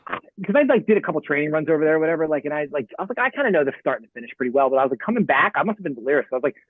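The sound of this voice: Speech races by at a very fast pace with lively intonation. The sound is dry and close, with no echo. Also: man, fairly high pitch for a man.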